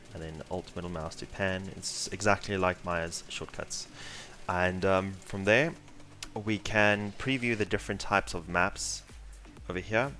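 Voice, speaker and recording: With music in the background, a man speaks in a South African accent at a fairly slow pace, his very deep, low pitch showing ordinary variation. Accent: South African (Afrikaans) English. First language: Afrikaans. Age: 20s. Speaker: 3D artist and tutorial instructor. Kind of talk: live tutorial. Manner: casual, many filler words.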